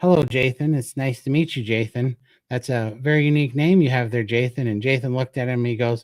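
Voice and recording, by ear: Natural-voiced reading aloud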